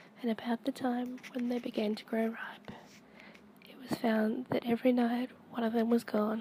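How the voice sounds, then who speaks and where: Soft-spoken and high-pitched, a woman talks at a moderate pace in a monotone, flat intonation against noticeable background noise. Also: long, frequent pauses. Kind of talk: softly spoken storytime reading. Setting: home recording, amateur microphone.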